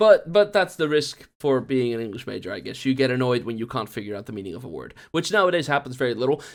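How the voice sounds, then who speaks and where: A man talking at a very fast pace with very wide pitch swings. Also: medium pitch for a man. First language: Dutch. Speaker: student teacher and YouTuber. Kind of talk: casual vlog talk. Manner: hesitant, lots of filler sounds.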